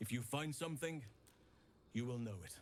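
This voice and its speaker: Pitched in a middle range, a man's voice is a put-on character voice. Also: moderate pace. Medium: video game. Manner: solemn, measured.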